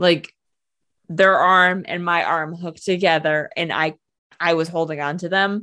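A woman with an American accent speaks at a fairly slow pace and fairly low pitch, using monotone, flat intonation and a bright, sharp tone. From New York State. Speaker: podcast co-host. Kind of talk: casual chat.

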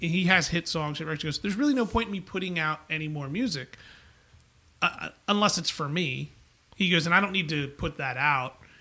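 A man with a New York accent speaks at a moderate pace in a high pitch with a bright, sharp tone and ordinary pitch variation. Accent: New York area. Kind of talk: casual chat.

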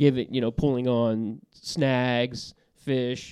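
Against a quiet background, a man at a medium pitch speaks in a plain, everyday voice with fairly even intonation. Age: 40s. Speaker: podcast host. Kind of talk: casual chat. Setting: studio.

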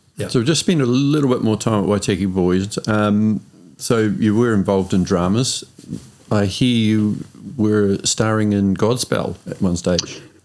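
Using a normal speaking voice, a man talks at a fairly slow pace with ordinary pitch variation. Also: fairly low pitch for a man. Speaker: podcast co-host. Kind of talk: casual interview chat.

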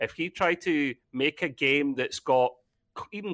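A plain, everyday voice with ordinary pitch variation, dry and close with no echo, over a quiet background. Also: man. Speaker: gamer. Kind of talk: casual chat.

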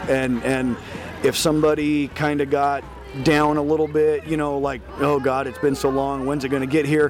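Over noticeable background noise, a man with a Midwestern American accent speaks at a fairly high pitch with fairly even intonation. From Iowa. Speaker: small town mayor. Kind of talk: casual interview.

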